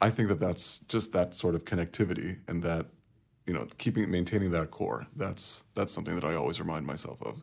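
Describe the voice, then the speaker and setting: Speaking fairly quickly, a man uses a very deep, low voice with vocal fry and ordinary pitch variation. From Kuwait, though raised mostly abroad. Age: 30s. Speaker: consultant and researcher. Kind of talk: casual interview.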